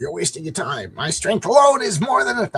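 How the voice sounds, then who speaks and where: A put-on character voice rattles along at a fairly quick pace. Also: man, high pitch for a man. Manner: menacing, arrogant.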